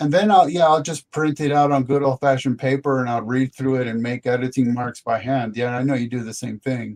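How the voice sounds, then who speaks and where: A man at a medium pitch, fairly quick and with hardly any pauses, his intonation fairly even, in a dry, close sound with no echo. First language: not English. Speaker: author and researcher. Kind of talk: interview.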